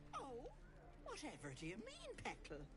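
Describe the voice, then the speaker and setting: Over loud background noise, a put-on character voice talks at a moderate pace. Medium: video game. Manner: doting, chatty, cloyingly sweet.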